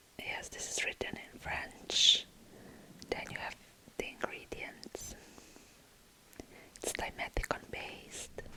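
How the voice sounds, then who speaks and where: Whispering from a woman, very slow and broken by long, frequent pauses, with big swings in loudness over noticeable background noise. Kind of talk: ASMR whispering product review. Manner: whispered, soft.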